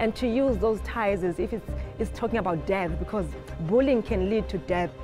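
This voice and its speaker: Clear music runs in the background. Over it, a woman talks at a moderate pace. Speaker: choreographer. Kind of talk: interview answer. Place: hall. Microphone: lapel.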